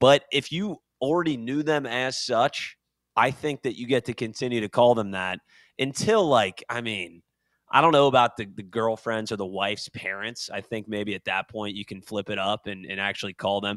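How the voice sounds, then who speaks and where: A man with an unremarkable speaking voice talks at a medium pitch and moderate pace with ordinary pitch variation, the sound dry and close with no echo. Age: 30s. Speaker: podcast co-host. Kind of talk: casual chat. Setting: video call.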